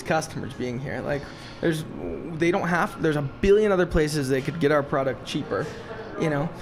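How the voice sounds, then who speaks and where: A man with a fairly high pitch talks at a fairly quick pace while music plays in the background. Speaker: podcast host and drink shop owner. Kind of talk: casual interview chat. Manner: loud; animated.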